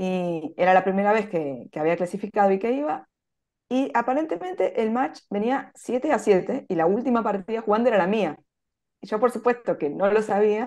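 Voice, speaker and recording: The voice has a dark, mellow tone and lively intonation at a moderate pace. The background is quiet. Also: woman, fairly high pitch for a woman. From Argentina. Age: 40s. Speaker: chess player; interviewee. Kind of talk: interview. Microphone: video call.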